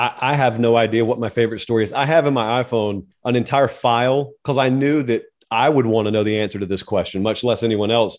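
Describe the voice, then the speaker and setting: A man at medium pitch with a Southern US accent, talking at a very fast pace with fairly even intonation. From US South. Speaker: college football media personality. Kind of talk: interview.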